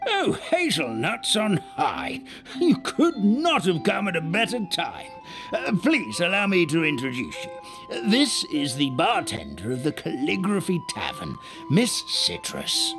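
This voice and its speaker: A man performs a put-on character voice with clear music in the background. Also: fairly slow pace. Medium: machinima. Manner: fussy, kindly.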